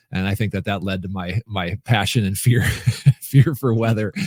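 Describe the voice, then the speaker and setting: On a very clean recording with a silent background and a dry, close sound with no echo, a man with an American accent and an unremarkable speaking voice talks at a moderate pace, his fairly low pitch showing ordinary variation. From US Midwest, rural Minnesota. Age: 40s. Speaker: speaker and coach, former TV weatherman. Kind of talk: podcast interview.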